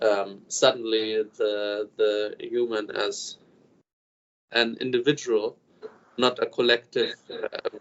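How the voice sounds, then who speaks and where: The delivery is very slow, with long, frequent pauses. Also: man. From Germany, Upper Bavaria. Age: 20s. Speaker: film student and screenwriter. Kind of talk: interview. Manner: halting, many fillers.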